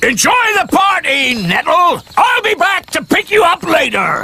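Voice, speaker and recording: The pace is moderate. The voice is cartoonish, a character voice pitched extremely high. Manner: pompous, fussy.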